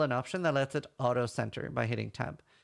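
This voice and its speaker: Fairly quick speech from a man in a normal speaking voice, ordinary pitch variation, over a quiet background. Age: 30s. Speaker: gaming streamer and tutorial host. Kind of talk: tutorial. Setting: livestream or recorded screen video.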